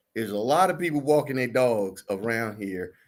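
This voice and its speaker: This man talks at a medium pitch with lively intonation. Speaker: real estate broker and show co-host. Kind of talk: casual chat. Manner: puts on a formal radio announcer voice for listings; sounded robotic.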